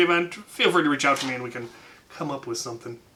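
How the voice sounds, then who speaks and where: A man speaks loudly. His pace is very fast. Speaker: YouTuber answering fan questions. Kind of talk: casual Q&A. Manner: hesitant, many fillers.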